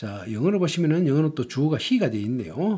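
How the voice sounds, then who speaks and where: This man has a fairly high, somewhat breathy voice with a dark, mellow tone and very wide pitch swings. The recording is very clean, with a silent background. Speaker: language teacher. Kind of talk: lecture.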